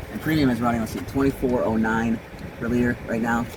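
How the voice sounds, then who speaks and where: A man talks at a very fast pace with fairly even intonation. Audible room echo and noticeable background noise are present. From US, Louisville, Kentucky. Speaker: vlogger. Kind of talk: casual monologue while driving. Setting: in a car. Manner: halting, many fillers.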